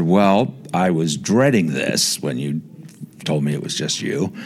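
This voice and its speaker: Lively intonation and a fairly slow pace mark this American accent, heard over noticeable background noise. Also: man. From Indiana, US Midwest. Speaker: documentary filmmaker. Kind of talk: interview.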